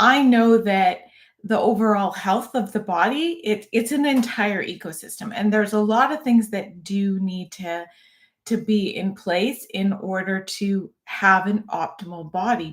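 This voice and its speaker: At a very slow pace, a somewhat breathy woman with fairly high pitch and ordinary pitch variation speaks on a very clean recording with a silent background. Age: 50s. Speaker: fitness YouTuber, former fitness coach. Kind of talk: live-stream casual talk. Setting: live stream. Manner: conversational, with fillers and restarts.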